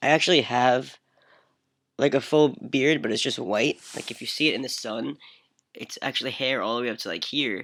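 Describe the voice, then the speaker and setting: A man with an ordinary speaking voice talks at a moderate pace, keeping a medium pitch with ordinary pitch variation. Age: 20s. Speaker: vlogger. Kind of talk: personal video diary. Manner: casual, with fillers.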